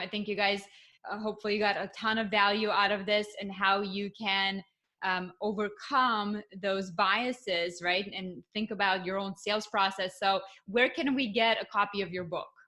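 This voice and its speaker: Her Russian accent comes through as a woman speaks at a medium pitch with fairly even intonation. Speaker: podcast host. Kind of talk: podcast interview.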